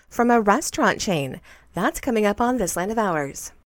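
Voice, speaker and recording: A woman's normal speaking voice, fairly high in pitch, with lively intonation, in a very clean recording with a silent background. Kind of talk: scripted news reading. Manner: steady, formal, neutral newsreader tone.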